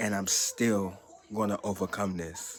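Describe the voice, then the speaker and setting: A man with a fairly low pitch speaks very slowly in a monotone, flat intonation over noticeable background noise. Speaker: YouTuber sharing health update. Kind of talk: personal vlog testimony. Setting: talking to camera.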